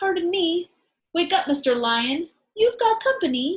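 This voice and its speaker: A woman puts on a squeaky character voice at an extremely high pitch, timid in tone, with very wide pitch swings at a moderate pace. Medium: read story.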